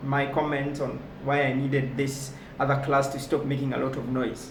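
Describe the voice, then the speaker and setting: Audible room echo and noticeable background noise accompany a fairly high-pitched man talking at a moderate pace. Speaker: motivational speaker. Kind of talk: motivational talk.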